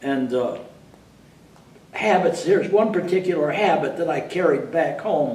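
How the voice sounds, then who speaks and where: A man with a high pitch and an American accent, at a moderate pace with long, frequent pauses, amid noticeable background noise and audible room echo. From upstate New York. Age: 80s+. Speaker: war veteran. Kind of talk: interview. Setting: library.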